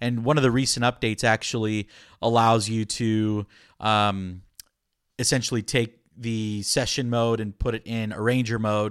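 A man speaks at medium pitch and a moderate pace in a monotone, flat intonation, on a very clean recording with a silent background. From Florida, US. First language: Spanish. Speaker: listener and amateur musician. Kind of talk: casual interview chat.

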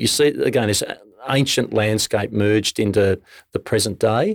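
In a very clean recording with a silent background, a man with a fairly low pitch speaks at a moderate pace, the sound dry and close with no echo. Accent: Australian. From Australia. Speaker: distillery co-founder. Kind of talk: casual interview.

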